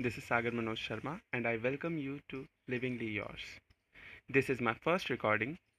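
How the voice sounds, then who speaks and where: Speaking at a moderate pace in an Indian accent, the voice has a bright, sharp tone and ordinary pitch variation. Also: man. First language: Hindi. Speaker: podcast host. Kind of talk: spiritual talk.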